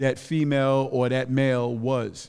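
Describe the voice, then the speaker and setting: This is a man with a fairly high pitch. The recording is very clean, with a silent background. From Harlem, New York. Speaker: comedian and podcast host. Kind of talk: casual podcast chat. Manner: animated.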